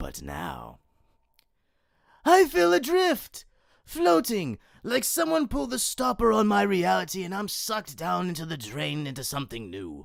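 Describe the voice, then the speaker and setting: A man performs a put-on character voice. The recording is very clean, with a silent background. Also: moderate pace. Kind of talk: villain monologue. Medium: solo performance. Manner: theatrical, silky, mocking.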